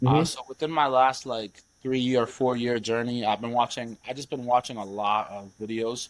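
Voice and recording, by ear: Moderate in pace, a man speaks at medium pitch. His intonation stays fairly even.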